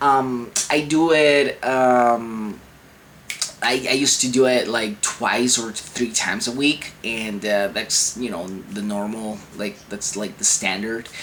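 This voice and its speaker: Very slow male speech over noticeable background noise. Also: medium pitch for a man, ordinary pitch variation. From Venezuela. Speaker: chronic illness vlogger. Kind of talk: casual vlog advice. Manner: halting, many fillers and restarts.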